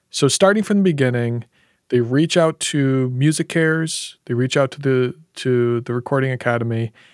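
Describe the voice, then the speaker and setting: A man with a plain, everyday voice talks at a moderate pace in a medium pitch, his ordinary pitch variation captured with a dry, close sound that has no echo. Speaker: audiologist and podcast host. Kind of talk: casual chat.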